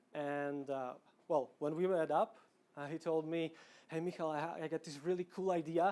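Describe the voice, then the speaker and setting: This man speaks with a Slovak accent at a high pitch. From Slovakia, Bratislava. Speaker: product manager, conference speaker. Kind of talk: conference talk. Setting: stage with audience. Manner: casual, with fillers and repetitions.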